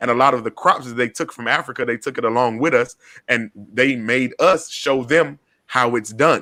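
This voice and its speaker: A man with an Atlanta accent talks at a moderate pace in a bright, sharp tone. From US South, Atlanta. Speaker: podcast host and community organizer. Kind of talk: panel discussion. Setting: video call. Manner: animated.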